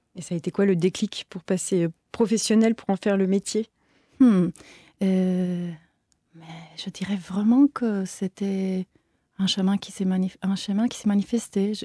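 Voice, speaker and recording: Somewhat breathy and dark, mellow in tone, a woman speaks at a fairly slow pace with long, frequent pauses and big swings in loudness, the sound dry and close with no echo. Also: medium pitch for a woman, fairly even intonation. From Italy, Turin. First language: Italian (speaking French). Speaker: choreographer and dancer. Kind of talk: interview.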